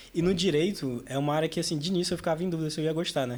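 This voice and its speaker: A man speaks at a very fast pace. His fairly high voice has ordinary pitch variation. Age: 20s. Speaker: university student and student leader. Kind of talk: casual podcast interview. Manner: casual, filler-heavy.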